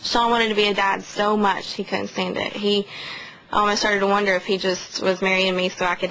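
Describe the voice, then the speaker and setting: Noticeable background noise is heard behind a woman with an American accent. She talks at a fairly quick pace and a medium pitch, her intonation monotone and flat. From western North Carolina, Haywood County. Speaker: widow speaking to the press. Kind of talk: press conference statement and answers.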